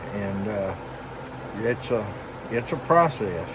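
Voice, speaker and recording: A man with a Southern US accent at medium pitch and a fairly slow pace, with audible room echo and noticeable background noise. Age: 70s. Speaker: knifemaker. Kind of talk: tutorial. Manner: halting.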